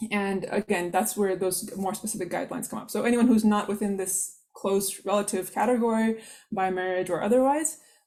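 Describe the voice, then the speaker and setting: The pitch varies in an ordinary way. The tone is dark and mellow. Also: woman. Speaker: workshop presenter on Islamic guidelines. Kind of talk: online workshop lecture. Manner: fast.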